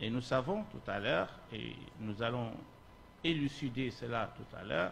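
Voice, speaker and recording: Audible room echo surrounds a man at medium pitch with vocal fry, speaking at a fairly slow pace. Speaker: Islamic scholar, lecturer. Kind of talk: lecture. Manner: slow, deliberate.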